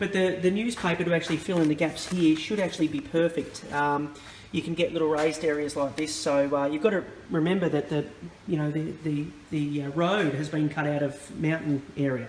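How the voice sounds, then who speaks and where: There is noticeable background noise as a man talks at a fairly quick pace. His intonation stays fairly even. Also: fairly high pitch for a man. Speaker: model railway hobbyist. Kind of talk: tutorial. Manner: hesitant, many fillers.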